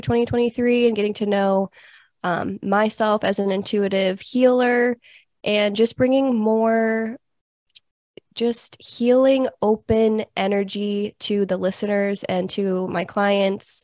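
A woman's ordinary speaking voice at a fairly high pitch, with fairly even intonation and a dry, close sound with no echo. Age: 20s. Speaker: podcast co-host and intuitive healer. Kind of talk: casual interview chat.

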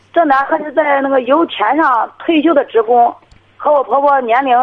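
A woman with a high voice and ordinary pitch variation speaks at a moderate pace. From rural northern China. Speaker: caller, teacher. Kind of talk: phone-in advice request. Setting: phone call. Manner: halting, repeating words.

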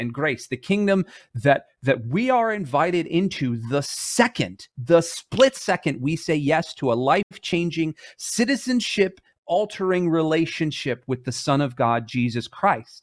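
A man at a fairly slow pace and fairly high pitch, with very wide pitch swings, on a very clean recording with a silent background. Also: dry, close sound with no echo. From Michigan, US. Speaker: church ministry director. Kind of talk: sermon. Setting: live stream. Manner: casual.

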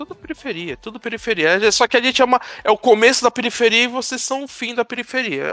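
A man's raised, projected voice at an extremely high pitch, very fast with hardly any pauses and big swings in loudness, over background music. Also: dry, close sound with no echo. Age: 40s. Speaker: podcast co-host. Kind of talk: casual chat.

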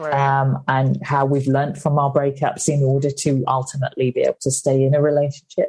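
A woman with a British accent talks at a fairly quick pace with hardly any pauses and very even loudness. Her very deep, low voice is somewhat breathy, with a dark, mellow tone and monotone, flat intonation. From UK. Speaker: author and comedian. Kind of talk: interview.

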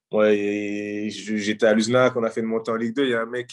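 A man is speaking. The background is quiet. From Paris suburbs, France. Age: 30s. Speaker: professional footballer. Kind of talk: casual interview. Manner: halting.

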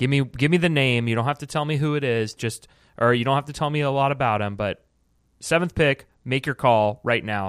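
An ordinary speaking voice from a man with an American accent, ordinary pitch variation, dry, close sound with no echo, and a very clean recording with a silent background. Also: medium pitch for a man, fairly quick pace. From United States. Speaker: podcast host and sports editor. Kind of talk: casual chat.

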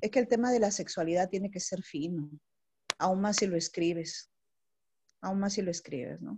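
A woman's somewhat breathy, medium-pitched voice with a dark, mellow tone, ordinary pitch variation, a moderate pace and long, frequent pauses. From northern Peru, Chiclayo. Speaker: poet and lawyer. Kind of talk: casual chat. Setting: video call.

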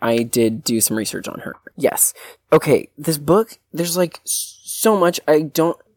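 A man with an ordinary speaking voice, fairly high in pitch, lively in intonation, in a dry, close sound with no echo. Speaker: book podcast co-host and interior designer. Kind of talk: casual chat. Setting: remote recording under blankets on vacation.

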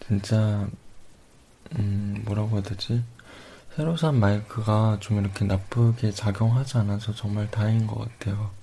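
A man's calm, somewhat breathy voice with long, frequent pauses. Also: fairly low pitch for a man, fairly slow pace. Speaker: ASMR YouTuber. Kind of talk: ASMR radio, soft-spoken reading of viewer comments. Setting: home recording with microphone. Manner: soft, calm, halting.

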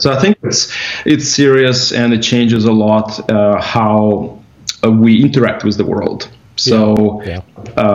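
Over noticeable background noise, a man speaks at a fairly slow pace with medium pitch and fairly even intonation. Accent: Russian. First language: Russian. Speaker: company executive. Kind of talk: casual interview over drinks. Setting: video call.

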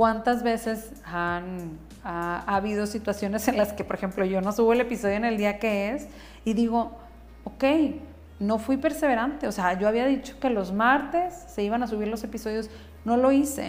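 A woman talks at a moderate pace in a fairly high pitch with ordinary pitch variation. There is audible room echo. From northern Mexico. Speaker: psychotherapist and podcast host. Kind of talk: solo podcast monologue.

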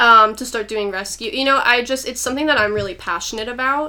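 Her bright, sharp tone moving at a fairly quick pace, a woman talks with ordinary pitch variation. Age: 20s. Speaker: animal rescuer and sex worker. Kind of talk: casual interview. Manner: hesitant with many fillers.

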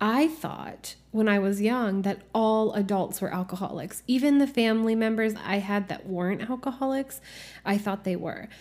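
On a very clean recording with a silent background, a woman with an unremarkable speaking voice talks at a fairly slow pace with ordinary pitch variation. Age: 30s. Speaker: podcast host on healing and spirituality. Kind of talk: solo podcast monologue. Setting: home office.

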